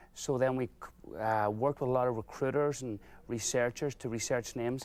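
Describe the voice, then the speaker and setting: In a very clean recording with a silent background, a man with an Irish accent speaks very fast at a medium pitch and fairly even intonation. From Ireland. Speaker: business owner. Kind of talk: TV interview.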